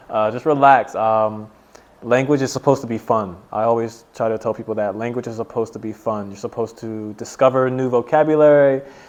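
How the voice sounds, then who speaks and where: A man's ordinary speaking voice with an American accent, medium pitch, fairly even intonation and a fairly quick pace. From USA. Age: 20s. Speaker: English teacher. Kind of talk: casual interview.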